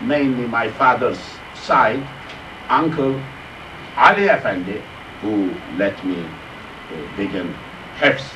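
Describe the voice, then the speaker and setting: Amid noticeable background noise and audible room echo, a man at medium pitch speaks at a very slow pace with long, frequent pauses, very wide pitch swings and big swings in loudness. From Turkey, Sakarya province. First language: Turkish. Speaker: Islamic scholar and Quran teacher. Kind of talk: lecture. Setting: mosque class. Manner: halting.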